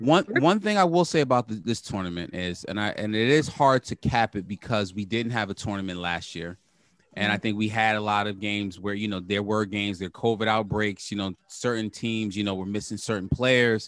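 A man with a New York accent, a fairly low pitch and a fairly quick pace. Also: ordinary pitch variation. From Brooklyn, New York. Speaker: sports podcast co-host. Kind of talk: casual chat.

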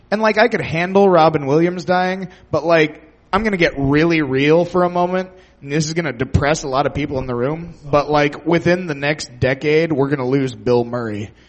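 A man speaks at a moderate pace with a fairly high pitch. His is a normal speaking voice, with ordinary pitch variation. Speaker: audience contestant.

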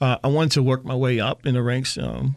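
With an American accent, a man has an unremarkable speaking voice, medium in pitch, with fairly even intonation. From Pennsylvania, Reading. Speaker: theater company founder and writer. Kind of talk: interview.

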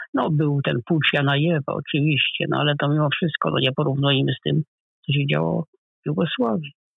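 A man's fairly high voice moves along at a fairly quick clip. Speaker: professor, historian. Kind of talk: interview. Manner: halting.

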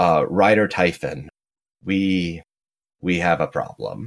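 In a put-on character voice, the speaker sounds strained, talking at a very slow pace with fairly even intonation. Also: man, very deep, low pitch for a man.

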